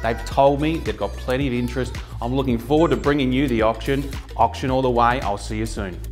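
Over faint music in the background, a man speaks at a fairly quick pace in an upbeat tone. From Australia. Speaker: auctioneer. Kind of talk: casual talk to camera. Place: home room. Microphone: lapel.

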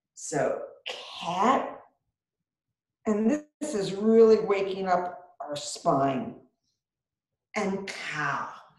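A woman talks with long, frequent pauses, and the room echo is audible. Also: quiet background. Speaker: yoga instructor. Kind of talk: guided chair yoga and breathing instruction. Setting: video call, online class from home. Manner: calm, slow, soothing, with pauses and counted cues; gently encouraging, reassuring and conversational. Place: home room. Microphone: webcam.

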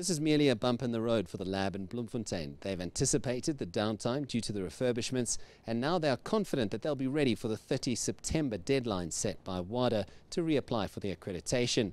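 The pace is very fast. The sound is dry, with no echo. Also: man. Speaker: TV news reporter. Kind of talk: news piece to camera. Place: stadium. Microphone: handheld.

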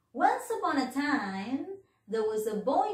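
Against a quiet background with audible room echo, a woman speaks at a very slow pace with very wide pitch swings. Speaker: teacher. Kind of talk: children's storytelling.

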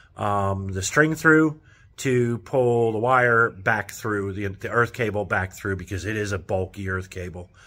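A man's ordinary speaking voice, fairly low in pitch, with ordinary pitch variation. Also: fairly slow pace. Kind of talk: casual vlog chat. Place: workshop. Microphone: phone near.

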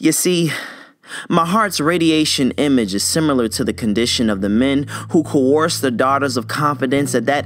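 The speaker is a man at a medium pitch and moderate pace. Noticeable background noise runs underneath. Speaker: spoken word poet. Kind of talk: spoken word poetry performance.

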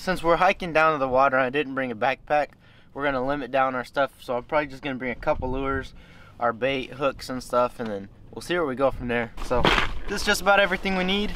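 Over loud background noise, a man talks very fast with ordinary pitch variation, and the sound is dry with no echo. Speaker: fishing vlogger. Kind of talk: casual vlog chat. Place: waterside. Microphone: phone near.

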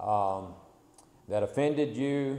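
The tone is dark and mellow. Room echo is audible. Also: man. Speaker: preacher. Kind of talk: sermon. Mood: humble, apologetic. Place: church. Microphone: podium.

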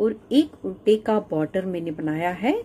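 A woman's somewhat breathy, dark and mellow voice, with very wide pitch swings and a very slow pace. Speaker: knitting tutor. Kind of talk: tutorial. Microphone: phone near.

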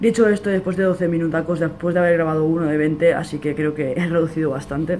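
A man talks fast at a fairly high pitch with fairly even intonation. His tone is slightly mellow, and faint background noise can be heard.

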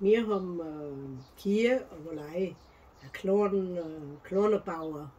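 Fairly low pitch from a woman at a very slow pace. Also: ordinary pitch variation. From South Tyrol, Italy. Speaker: farm woman recalling the past. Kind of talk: interview answer. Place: home room.

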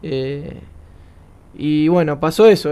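A man's dark, mellow voice in a Rioplatense accent, very slow in pace with fairly even intonation. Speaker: futsal player. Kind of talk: interview.

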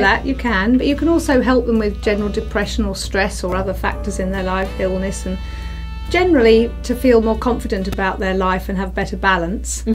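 Over faint background music, a woman speaks at a fairly quick pace. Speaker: TV presenter; alchemy healer. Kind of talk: interview answer. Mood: calm, warm explaining. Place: studio.

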